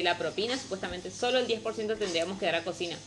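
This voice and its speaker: Over music in the background, a woman with a northeastern Argentine accent talks at a very fast pace with ordinary pitch variation. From northeastern Argentina. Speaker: restaurant worker. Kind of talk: casual chat.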